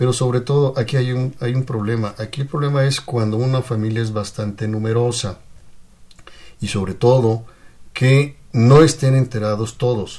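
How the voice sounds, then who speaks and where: A man's somewhat breathy voice, medium in pitch with a dark, mellow tone, fairly even intonation and a moderate pace. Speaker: lawyer, legal adviser. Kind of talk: radio interview. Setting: radio studio. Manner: formal.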